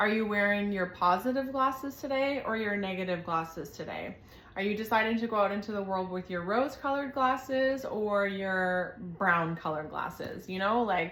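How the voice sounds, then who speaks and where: Audible room echo surrounds a woman with a medium pitch. She talks at a moderate pace. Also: ordinary pitch variation. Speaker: tarot reader. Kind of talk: tarot reading monologue.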